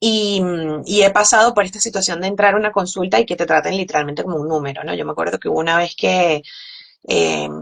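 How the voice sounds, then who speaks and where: A woman with a strong Caracas accent, very fast pace, fairly low pitch and ordinary pitch variation. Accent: strong Caracas Venezuelan. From Venezuela, Caracas. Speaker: physician. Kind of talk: interview. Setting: live stream.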